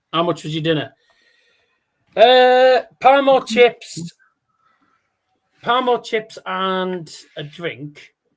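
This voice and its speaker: A man with a Teesside accent speaks at a very slow pace and a high pitch, with long, frequent pauses. His loudness swings widely in a very clean recording with a silent background. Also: lively intonation. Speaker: darts livestream host. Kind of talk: casual live watchalong chat. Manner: halting, repeats words.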